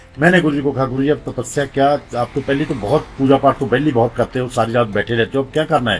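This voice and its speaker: Music runs in the background as a man speaks at a medium pitch, with hardly any pauses. His intonation stays fairly even. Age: 60s. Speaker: devotee sharing memories. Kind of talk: testimony.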